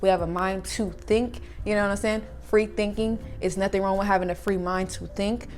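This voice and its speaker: Audible room echo follows a woman who talks at a fairly quick pace. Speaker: spiritual channel creator. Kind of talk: motivational monologue. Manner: animated.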